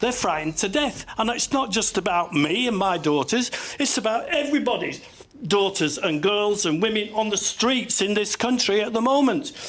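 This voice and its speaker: With a Cumbrian accent, a man speaks at a high pitch and a moderate pace, using lively intonation and very even loudness. Noticeable background noise sits behind him. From northern England, Kendal, Cumbria. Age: 70s. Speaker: army veteran, audience member. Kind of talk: heated debate. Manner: animated; halting.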